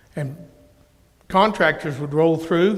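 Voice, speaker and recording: With audible room echo, a man with an American accent speaks at a high pitch with ordinary pitch variation. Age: 60s. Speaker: minister. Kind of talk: interactive Bible teaching. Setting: church.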